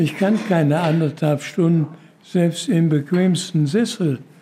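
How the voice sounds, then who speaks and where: A man with a high voice speaks very slowly with ordinary pitch variation. Noticeable background noise runs underneath. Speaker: care home resident. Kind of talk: interview.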